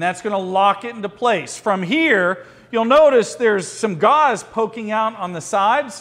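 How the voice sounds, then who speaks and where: A loud man with high pitch and lively intonation. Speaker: firearms and emergency response instructor. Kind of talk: hands-on training class. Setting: classroom with students. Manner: fast.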